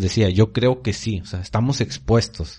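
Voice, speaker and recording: A man's dark, mellow, somewhat breathy voice at medium pitch and a fairly slow pace. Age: young. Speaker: church youth podcast co-host. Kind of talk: casual chat.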